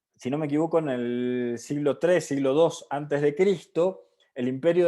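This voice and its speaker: The speaker uses lively intonation at a fairly slow pace against a quiet background. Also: man. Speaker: Buddhism seminar teacher. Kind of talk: lecture.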